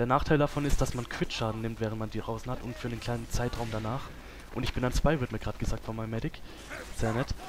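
Music plays in the background as a man talks at a very fast pace. His intonation stays fairly even. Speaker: gaming video creator. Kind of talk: let's play commentary. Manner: casual, frequent filler sounds.

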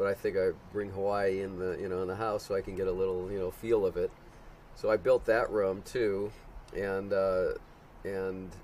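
A man with an American accent speaks at a moderate pace. There is light background noise. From Chicago, US Midwest. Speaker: homeowner of the filming location; interviewee. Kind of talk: interview. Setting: in his house. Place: open country.

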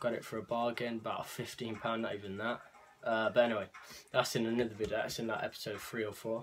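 Light background noise sits under a man talking at a fairly quick pace in a monotone with flat intonation. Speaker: clothing haul vlogger. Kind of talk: casual vlog chat. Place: home room.

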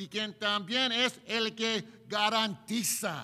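A man speaks in a high, bright, sharp voice. He raises and projects it. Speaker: preacher. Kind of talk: sermon. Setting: church. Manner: earnest, preaching cadence. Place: church. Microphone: podium.

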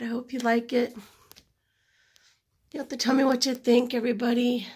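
A woman talks fairly quickly at a high pitch, monotone and flat in intonation yet with big swings in loudness, over a quiet background. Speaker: acrylic fluid artist. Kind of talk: tutorial. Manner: casual, chatty. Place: home room. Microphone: phone near.

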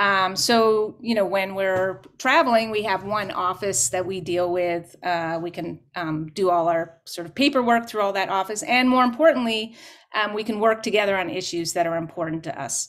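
A woman with a Canadian accent talks at a moderate pace with lively intonation and hardly any pauses over a quiet background. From Canada. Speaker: folk musician. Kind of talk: panel discussion. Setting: video call. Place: home room.

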